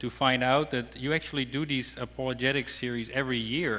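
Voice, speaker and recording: In a Dutch accent, a man speaks at a moderate pace and medium pitch, with a bright, sharp tone and fairly even intonation. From Netherlands. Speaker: apologetics speaker. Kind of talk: sermon. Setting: church. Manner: halting.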